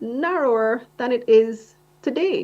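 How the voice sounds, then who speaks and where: A woman speaking at a very slow pace. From Belize. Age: 40s. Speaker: webinar speaker on careers. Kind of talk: webinar presentation. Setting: online webinar.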